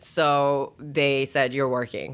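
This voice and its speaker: A woman's very deep, low voice. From Chicago area, Schaumburg. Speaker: title company director and attorney. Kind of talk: casual interview.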